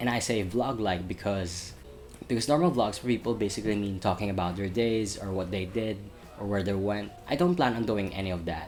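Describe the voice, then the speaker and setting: A man's fairly low voice at a fairly quick pace, ordinary pitch variation, audible room echo and music in the background. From Saudi Arabia, Riyadh (expat, Filipino parents). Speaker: film student and YouTuber. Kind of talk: vlog update. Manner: casual, some repetitions.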